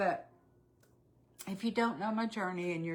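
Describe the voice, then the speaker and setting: A woman speaks with a Texan accent. Noticeable background noise is present. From Texas. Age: 60s. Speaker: weight-loss vlogger. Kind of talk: casual livestream chat. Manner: chatty, halting with fillers.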